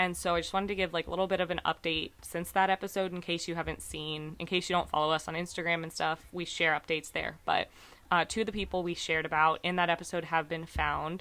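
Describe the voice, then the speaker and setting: Speaking at a very fast pace with hardly any pauses, a woman has a fairly low pitch, a bright, sharp tone, vocal fry, and monotone, flat intonation. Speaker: podcast co-host. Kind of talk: casual chat.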